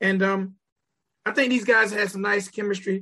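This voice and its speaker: A man's high-pitched, raised and projected voice, animated and bright and sharp, at a fairly quick pace. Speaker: podcast host, music reviewer. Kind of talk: casual video review chat. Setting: studio. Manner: animated, casual.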